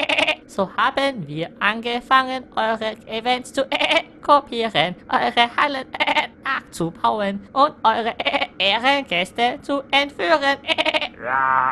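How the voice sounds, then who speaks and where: In a put-on character voice, someone talks at a fairly high pitch and fairly slow pace with hardly any pauses, over clear background noise. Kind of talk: comic overacting. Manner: hesitant, stammering.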